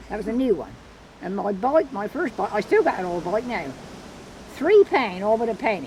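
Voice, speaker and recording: Speaking in an Isle of Wight accent at a moderate pace, the voice makes very wide pitch swings and takes long, frequent pauses. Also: woman, fairly high pitch for a woman. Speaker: farmer and fossil museum owner. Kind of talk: interview answer. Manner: humorous.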